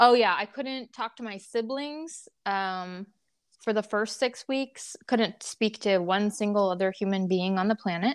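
At a fairly slow pace, a woman with a normal speaking voice talks at a medium pitch with ordinary pitch variation, the sound dry and close with no echo over a quiet background. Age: 30s. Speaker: guest sharing life story of cult abuse and recovery. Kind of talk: casual interview chat.

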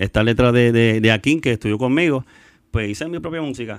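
In a very clean recording with a silent background, a man with a normal speaking voice talks at a medium pitch and a fairly quick pace, with ordinary pitch variation. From Puerto Rico. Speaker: reggaeton artist. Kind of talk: casual chat. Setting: studio.

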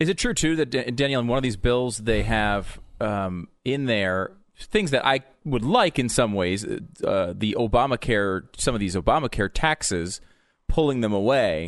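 Against a quiet background, a man with an ordinary speaking voice at a medium pitch talks at a moderate pace with lively intonation. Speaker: radio co-host. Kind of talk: casual banter. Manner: sarcastic.

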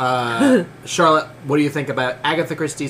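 A man is talking, and noticeable background noise can be heard behind him. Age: 20s. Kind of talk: casual chat. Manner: animated.

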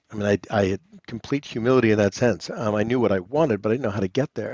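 The sound is dry and close with no echo, against a quiet background. A man with a fairly low pitch and a New York accent talks at a very fast pace. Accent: American (New York). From US, New York City (Manhattan). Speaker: distillery founder. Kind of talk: interview.

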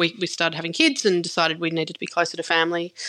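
Woman with an Australian accent and a medium pitch. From rural New South Wales, Australia. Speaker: farmer and food shop owner. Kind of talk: interview. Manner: hesitant, many fillers.

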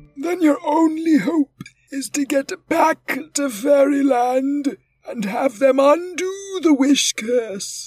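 A man speaks in a put-on character voice pitched extremely high. He goes at a very slow pace. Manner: prim, indignant.

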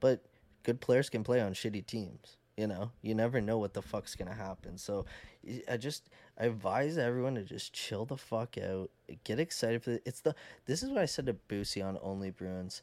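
A man with a Canadian accent talks at a moderate pace, fairly low in pitch, with ordinary pitch variation. His is a plain, everyday voice in a very clean recording with a silent background. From Canada. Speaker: sports podcaster. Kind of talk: casual chat.

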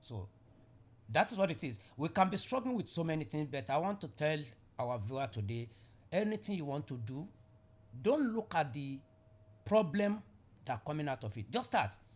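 On a very clean recording with a silent background, a man with a somewhat breathy, fairly high voice speaks at a moderate pace, swinging very widely in pitch and leaving long, frequent pauses. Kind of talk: casual interview conversation.

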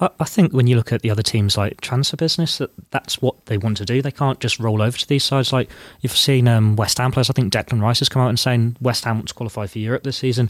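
A man with a southern English accent talks at a very fast pace, with hardly any pauses, at a medium pitch and with ordinary pitch variation. The sound is dry and close with no echo, on a very clean recording with a silent background. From southern England. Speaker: football journalist. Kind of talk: casual chat.

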